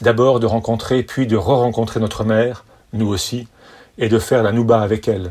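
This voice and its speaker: A man with a plain, everyday voice talks at a moderate pace, with medium pitch and fairly even intonation. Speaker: son giving toast. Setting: party with audience. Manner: playful, deadpan-mocking, wry, with mock-lyrical flourishes and timed pauses for laughs.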